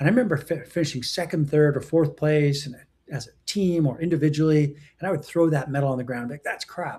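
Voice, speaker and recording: This man speaks very fast in a fairly high, somewhat breathy voice with ordinary pitch variation. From Western Canada. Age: 60s. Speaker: entrepreneur and executive coach. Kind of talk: interview.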